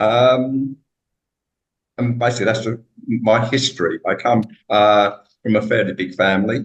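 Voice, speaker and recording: A man talks with a British accent. His intonation is fairly even. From UK. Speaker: author. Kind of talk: interview.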